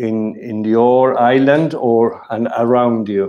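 A man with a Spanish accent has a dark, mellow tone against a quiet background. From Argentina. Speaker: webinar moderator, platform director; webinar moderator. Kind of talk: webinar moderation. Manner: halting, many fillers. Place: home room. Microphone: video call.

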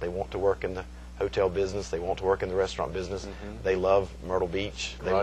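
Light background noise sits under a man's very fast speech. His voice is very deep and low, with vocal fry. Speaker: college hospitality professor. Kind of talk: interview answer. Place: hall.

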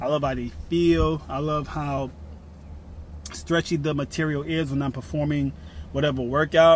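Moderately paced male speech, dry and echo-free, with light noise behind it. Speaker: fitness vlogger. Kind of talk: casual vlog chat. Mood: confident, relaxed after annoyance. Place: car. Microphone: phone near.

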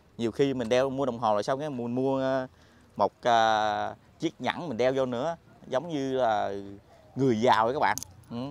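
Pauses come long and often in this fairly slow delivery, with a dry sound that has no echo. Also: man, medium pitch for a man. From southern Vietnam. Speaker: vlogger. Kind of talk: casual vlog narration. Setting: outdoors. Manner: animated. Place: market. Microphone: lapel.

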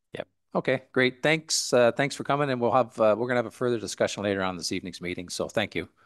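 Spoken very fast with a Canadian accent and ordinary pitch variation, the voice sits over a quiet background. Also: man. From Canada (Ontario). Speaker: mayor chairing council meeting. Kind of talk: council meeting chairing. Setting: council chamber with microphones. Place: hall. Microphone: podium.

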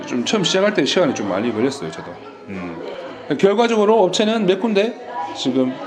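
Crowd noise behind a man's high-pitched voice, fairly quick yet with long, frequent pauses, very wide pitch swings and big swings in loudness. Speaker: manufacturing sales rep and online seller. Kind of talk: casual conversation interview.

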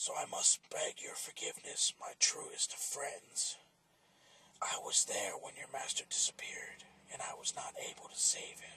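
A man puts on a character voice with an extremely high pitch. It is raspy and comes at a moderate pace. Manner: earnest, old-fashioned, pleading.

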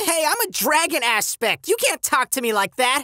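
A put-on character voice with a high pitch swings very widely at a moderate pace. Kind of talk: comic dub. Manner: playful, excitable.

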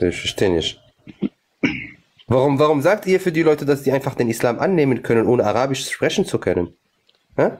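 At a fairly quick pace, a man talks with very wide swings in pitch. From Morocco. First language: Arabic (speaking German). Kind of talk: live stream debate. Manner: animated.

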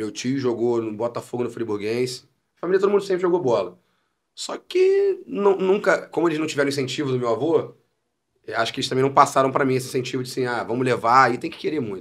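A man speaks at a very fast pace with lively intonation. The background is quiet. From Niterói / São Gonçalo, Rio de Janeiro state, Brazil; Rio de Janeiro state, Brazil. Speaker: comedian and musician; comedian. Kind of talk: casual chat. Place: studio. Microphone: studio mic.

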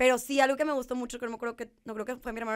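A woman with a northern Mexican accent, fairly high pitch, fairly even intonation and a very fast pace, over a quiet background. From northeastern Mexico. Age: 20s. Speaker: podcast guest, engaged partner; podcast guest. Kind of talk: casual chat. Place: studio. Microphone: studio mic.

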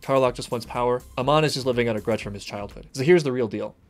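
A man at a very fast pace with faint music in the background. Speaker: reaction video host. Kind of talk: reaction commentary. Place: home room.

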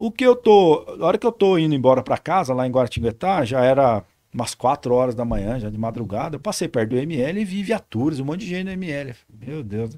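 A fairly high-pitched man with a dark, mellow tone, fairly quick pace, very wide pitch swings and hardly any pauses, against a quiet background. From São Paulo state, Vale do Paraíba; São Paulo, Brazil. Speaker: military police lieutenant colonel; guest. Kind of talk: interview. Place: studio. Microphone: studio mic.

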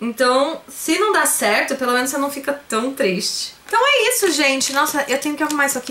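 With a Brazilian accent, a woman projects a raised, high-pitched voice in an animated tone. Her intonation is lively, and light background noise can be heard. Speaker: YouTuber, online shop owner; YouTuber. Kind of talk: haul vlog, casual talk to camera. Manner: chatty, animated. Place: home room. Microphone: phone near.

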